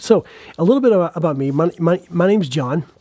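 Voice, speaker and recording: A man's speech comes at a moderate pace, its pitch varying in an ordinary way, while noticeable background noise runs underneath. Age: 40s. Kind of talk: casual monologue podcast. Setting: in a barn, live recording. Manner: halting, many fillers and repetitions.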